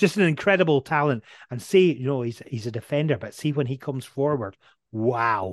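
In a Dundee accent, a man talks at a fairly quick pace with a medium pitch and lively intonation against a quiet background. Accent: Scottish (Dundee). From Scotland, Dundee. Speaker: radio presenter. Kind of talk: casual interview.

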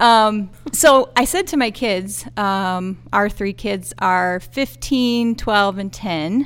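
In a very clean recording with a silent background, a woman speaks at a very slow pace with hardly any pauses. Her pitch is medium, with ordinary variation. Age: 40s. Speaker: school counselor. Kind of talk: casual interview.

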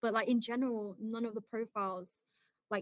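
With a British accent, a woman speaks in a bright, sharp tone with ordinary pitch variation, recorded dry and close with no echo. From Britain. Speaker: ADHD coach. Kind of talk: casual chat.

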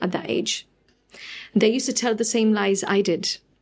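A woman speaks in an ordinary speaking voice, pitched fairly high with ordinary pitch variation. The recording is very clean, with a silent background. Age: 40s. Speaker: charity founder. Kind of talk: interview. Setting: at host's home.

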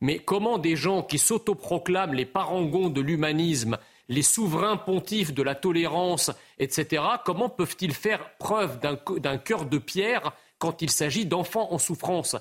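Lively intonation marks this man's high-pitched voice as he talks at a fairly slow pace. His loudness stays very even. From immigrated to France as a child, not a native French speaker. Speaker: political commentator, association president. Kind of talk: televised debate.

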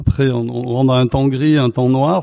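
The man has a dark, mellow tone at medium pitch and keeps a moderate pace. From Arles, Provence, southern France. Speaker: festival founder. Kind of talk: casual chat. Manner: halting, many repetitions.

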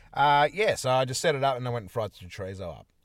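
A man with an Australian accent talks very fast at a medium pitch, his voice showing vocal fry. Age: 30s. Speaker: podcast co-host. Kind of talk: casual chat. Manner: animated.

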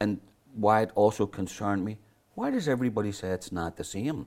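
Moderately paced speech from a man with a fairly low voice, lively intonation, and a Belfast accent. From Northern Ireland, North Belfast. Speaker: author and historian. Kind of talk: interview.

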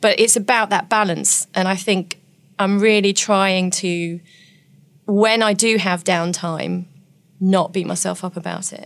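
The speaker uses an English accent at a fairly slow pace. The intonation is monotone and flat, and the recording is very clean with a silent background. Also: woman, medium pitch for a woman. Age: 40s. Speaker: nurse and author. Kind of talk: interview.

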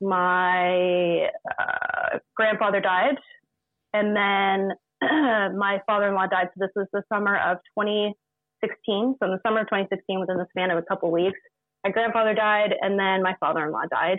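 A woman's ordinary speaking voice, medium in pitch, at a moderate pace with fairly even intonation and very even loudness. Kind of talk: casual interview. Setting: video call.

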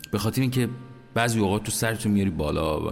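A man speaks with music in the background. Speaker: podcast host. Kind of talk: personal monologue.

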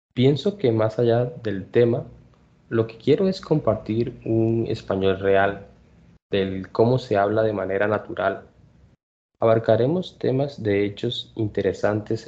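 A plain, everyday voice is heard here. It moves along fairly slowly. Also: man. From Colombia. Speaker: Spanish tutor and podcast host. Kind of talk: language lesson podcast.

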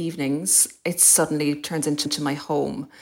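This is a woman. She speaks with an Irish accent. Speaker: podcast host. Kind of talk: interview.

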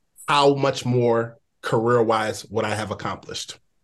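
Here is a man with a plain, everyday voice. He keeps a moderate pace. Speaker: radio and podcast interviewer. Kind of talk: casual interview.

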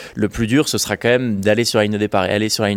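A man's fairly low-pitched voice. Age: 20s. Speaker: adventurer and filmmaker. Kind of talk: interview. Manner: hesitant, frequent fillers.

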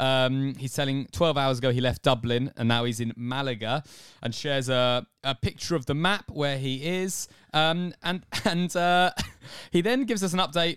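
In a very clean recording with a silent background, a man with a fairly high-pitched voice talks at a moderate pace. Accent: English. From England. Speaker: podcast co-host. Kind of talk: casual chat. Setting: small hot room in a flat, under the stairs.

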